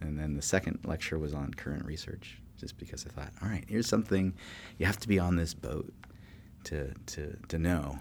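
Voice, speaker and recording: The man's pitch is very deep and low, with ordinary pitch variation. He speaks at a moderate pace. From California. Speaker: political science professor. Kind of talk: interview. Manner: halting.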